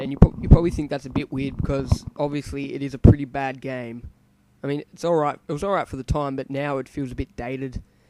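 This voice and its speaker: A man at a very fast pace, fairly high in pitch, with monotone, flat intonation, big swings in loudness and a dry, close sound with no echo. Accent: Australian. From Australia. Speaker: gaming video creator. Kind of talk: let's play commentary. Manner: hesitant, many fillers.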